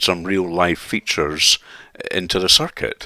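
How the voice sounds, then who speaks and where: A man with a Scottish accent has a very deep, low pitch and a bright, sharp tone. His intonation is fairly even, and the sound is dry and close with no echo. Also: very clean recording, silent background. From Scotland. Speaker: sim racing YouTuber. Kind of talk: video commentary. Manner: halting.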